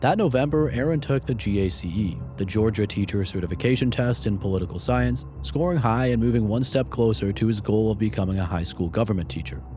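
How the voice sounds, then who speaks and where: Over noticeable background noise, a man with a fairly low pitch talks fairly quickly with hardly any pauses and very wide pitch swings. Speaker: true crime narrator. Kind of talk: documentary narration.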